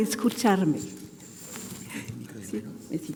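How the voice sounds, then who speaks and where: A woman with a French accent is heard with audible room echo and noticeable background noise. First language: French (speaking Spanish). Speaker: neurologist. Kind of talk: conference talk. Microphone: microphone problem.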